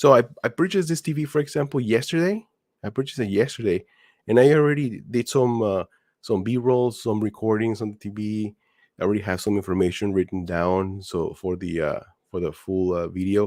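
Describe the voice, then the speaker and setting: Speaking at a fairly quick pace, a man with a non-native accent has a fairly low pitch. His intonation is lively. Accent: noticeable non-native pronunciation. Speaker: gaming and TV YouTuber. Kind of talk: casual live stream chat. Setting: live stream at home in front of TV. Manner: halting, many fillers.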